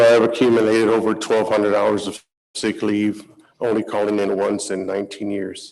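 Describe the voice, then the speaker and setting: Monotone, flat intonation in an American accent. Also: man. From Texas, San Antonio south side. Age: 40s. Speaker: firefighter. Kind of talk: testimony. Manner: halting.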